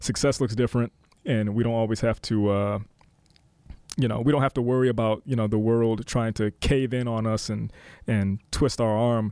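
A man at a medium pitch, moderate pace, with monotone, flat intonation and very even loudness, on a very clean recording with a silent background. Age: young. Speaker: city council member. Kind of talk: casual chat. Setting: studio.

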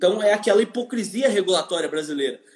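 A man's voice over noticeable background noise. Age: 20s. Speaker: economist and urban planning specialist. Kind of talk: interview. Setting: Instagram live video call.

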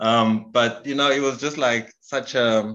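A man speaks in a plain, everyday voice at medium pitch. His intonation stays fairly even. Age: 40s. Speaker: podcast host. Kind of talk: casual chat.

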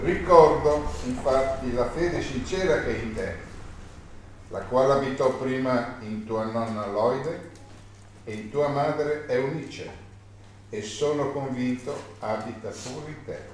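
A man at medium pitch and a fairly slow pace, with noticeable background noise. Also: ordinary pitch variation, big swings in loudness. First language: Italian. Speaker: congregation member reading scripture. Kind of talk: reading aloud.

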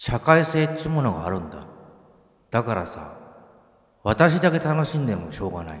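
A man's medium-pitched voice at a moderate pace, with very wide pitch swings, big swings in loudness, and long, frequent pauses. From Hokkaido, Japan. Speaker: podcast host, musician. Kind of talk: casual chat. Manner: animated.

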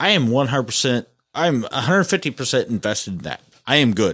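A very clean recording of a voice with an American accent, the background silent. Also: man. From US Midwest, rural northeast Missouri. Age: 40s. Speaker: podcast host, auto shop owner. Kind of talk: casual chat. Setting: studio. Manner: animated.

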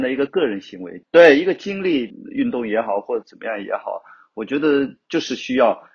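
Vocal fry marks this man's voice. He speaks fairly quickly with very wide pitch swings. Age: 50s. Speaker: rock climber, fashion blogger and climbing gym owner. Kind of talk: casual interview chat.

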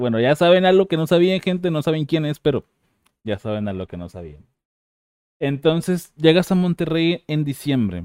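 An ordinary speaking voice from a man with a fairly high pitch, lively intonation, a moderate pace and big swings in loudness. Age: 30s. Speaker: podcast host. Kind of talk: casual interview chat. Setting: video call.

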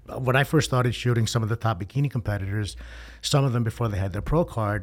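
The speech comes at a very fast pace, somewhat breathy, with ordinary pitch variation. The recording is very clean, with a silent background. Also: man. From New York. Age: 50s. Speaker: fitness photographer. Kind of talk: casual chat.

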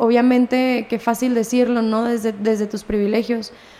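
This woman speaks at a high pitch and a moderate pace, her intonation fairly even. Noticeable background noise sits behind her. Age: 20s. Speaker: marketing professional and music student. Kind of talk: casual chat.

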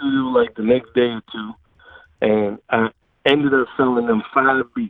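Loudness swings a great deal in this voice, while the pace stays moderate and the intonation fairly even. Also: man. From New York City (Queens). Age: 50s. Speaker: music producer and filmmaker. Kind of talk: interview.

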